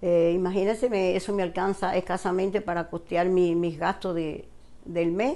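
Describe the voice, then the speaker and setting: A woman's dark, mellow tone carries fairly even intonation. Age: 80s+. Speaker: retiree nominee. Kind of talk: personal appeal. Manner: halting. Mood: earnest, pleading, somewhat hesitant. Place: home room. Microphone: lapel.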